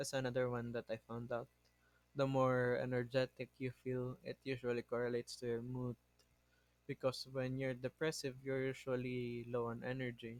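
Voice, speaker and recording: The speech is monotone and flat at a moderate pace. The sound is dry and close, with no echo. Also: man, medium pitch for a man. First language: not English. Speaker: podcast host. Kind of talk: casual monologue. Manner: halting, self-correcting.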